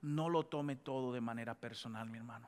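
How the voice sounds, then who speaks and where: Speaking at a moderate pace in an animated tone, a man with a medium pitch and ordinary pitch variation comes through on a very clean recording with a silent background. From Dominican Republic. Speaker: pastor. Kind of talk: sermon. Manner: animated, call-and-response with congregation.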